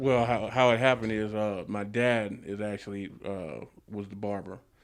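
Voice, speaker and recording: Moderate pace with fairly even intonation. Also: man. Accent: Los Angeles. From Los Angeles area, California. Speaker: barber and barbershop owner. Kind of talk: interview. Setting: barbershop. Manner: casual, many fillers.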